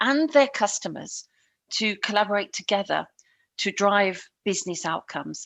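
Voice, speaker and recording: Speaking in a British accent, a woman of medium pitch goes at a fairly slow pace with ordinary pitch variation. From England. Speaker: customer success consultant. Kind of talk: podcast interview.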